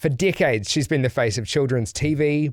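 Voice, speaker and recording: A fairly high-pitched man's voice with a New Zealand accent. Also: very clean recording, silent background. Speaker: podcast host. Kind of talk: casual podcast talk. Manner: upbeat.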